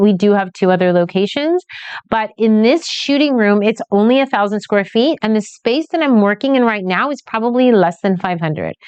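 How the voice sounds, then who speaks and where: Lively intonation runs through a woman's fairly high-pitched voice. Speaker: newborn photographer. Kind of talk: tutorial. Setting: photography studio. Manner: fast.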